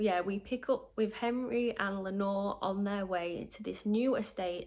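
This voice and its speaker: Speaking with a Yorkshire accent, a woman talks at a fairly slow pace. Her medium-pitched voice has fairly even intonation. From northern England, Yorkshire. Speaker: book vlogger. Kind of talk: casual book review.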